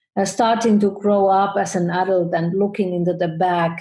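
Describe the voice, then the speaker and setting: Recorded very cleanly against a silent background, a woman with a somewhat breathy voice and a dark, mellow tone speaks at a medium pitch with fairly even intonation. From Finland. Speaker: photographer and business educator. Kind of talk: interview. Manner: halting.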